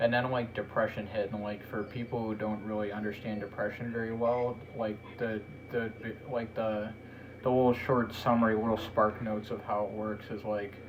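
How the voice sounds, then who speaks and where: A man speaks at a fairly low pitch and a moderate pace, his intonation monotone and flat. Audible room echo and noticeable background noise surround him. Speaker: podcast host. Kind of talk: casual chat.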